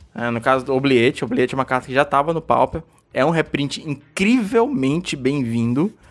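With music playing in the background, a man speaks with lively intonation. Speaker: podcast host. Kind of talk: casual chat. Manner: fast.

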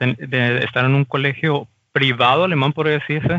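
A man with an unremarkable speaking voice, fairly high in pitch. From Mexico. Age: 30s. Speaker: mechanical designer working in Germany. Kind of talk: casual interview.

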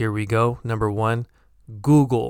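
A man with a General American accent, flat monotone intonation, in a very clean recording with a silent background. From San Francisco, California. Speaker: English teacher podcaster. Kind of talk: tutorial, pronunciation lesson. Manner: clear, slow, deliberate.

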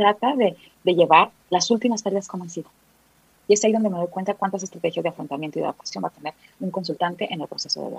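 Somewhat breathy and very fast, a woman speaks with ordinary pitch variation in a dry, close sound with no echo. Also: medium pitch for a woman, big swings in loudness. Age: 40s. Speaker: psychologist. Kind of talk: interview.

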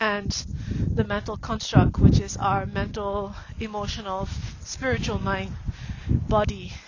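Over noticeable background noise, a woman speaks at a very slow pace. Her pitch is fairly high. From Singapore. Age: 40s. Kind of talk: personal monologue. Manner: casual, frequent fillers.

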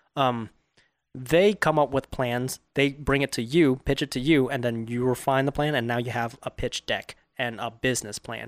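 Heard in a very clean recording with a silent background, an ordinary speaking voice with an American accent talks at a moderate pace with fairly even intonation and a dry, close sound with no echo. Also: man, medium pitch for a man. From Southern California, Orange County. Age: 20s. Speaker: filmmaker. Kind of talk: casual chat. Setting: studio.

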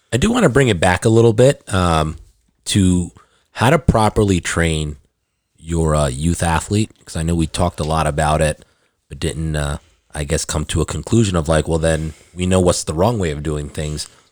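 In a dry, close sound with no echo, a man speaks in a very deep, low pitch with ordinary pitch variation. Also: moderate pace, very clean recording, silent background. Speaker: gym owner and coach. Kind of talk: casual chat.

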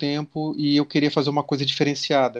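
A man speaks in a fairly high pitch against a quiet background. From Brazil, countryside (interior). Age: 40s. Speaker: comics YouTuber. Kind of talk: casual interview chat.

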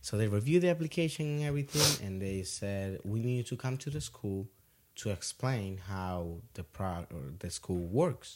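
A man with a Dominican accent speaks at a moderate pace in a fairly low voice, his pitch swinging very widely, on a very clean recording with a silent background. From Dominican Republic. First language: Spanish. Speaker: auto detailing business owner. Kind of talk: casual interview chat. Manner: halting, with frequent fillers.

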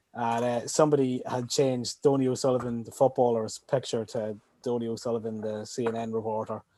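This man has an Irish accent and a medium pitch. His intonation stays monotone and flat. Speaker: podcast guest. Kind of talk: casual chat.

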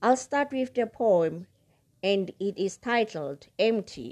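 A woman speaks very slowly with very wide pitch swings and a dark, mellow tone against a quiet background. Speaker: book podcast host. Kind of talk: casual podcast monologue. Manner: emotional, with long pauses.

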